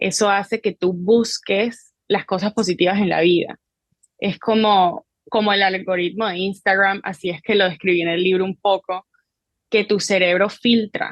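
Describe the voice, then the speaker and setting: A woman speaks in a medium pitch at a fairly slow pace. Her intonation is monotone and flat. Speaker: psychologist and therapist. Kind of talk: interview answer.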